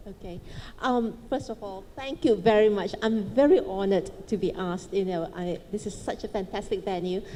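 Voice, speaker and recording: The speech moves at a moderate pace with ordinary pitch variation and big swings in loudness, and room echo can be heard. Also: woman, medium pitch for a woman. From Malaysia, Chinese family. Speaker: businesswoman, panelist. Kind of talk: panel talk, personal story. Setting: stage with audience.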